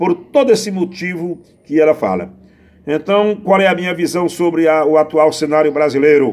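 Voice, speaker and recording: Using ordinary pitch variation, a man talks at a moderate pace in a high pitch. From Brazil, Pernambuco (Northeast). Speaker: poet and improvising singer. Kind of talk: interview answers. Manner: halting.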